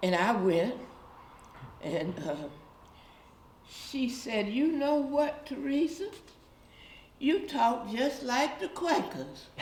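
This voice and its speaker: Amid noticeable background noise and audible room echo, a high-pitched woman speaks at a very slow pace with very wide pitch swings and long, frequent pauses. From US South, Guilford County, North Carolina. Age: 80s+. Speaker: community elder. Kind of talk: oral history interview. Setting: church.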